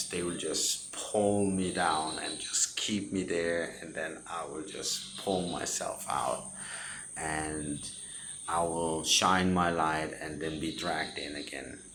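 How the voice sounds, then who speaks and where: Very slow and very deep in pitch, a man speaks with a Danish accent and fairly even intonation amid audible room echo. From Denmark. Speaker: spiritual content creator. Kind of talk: personal testimony. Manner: halting.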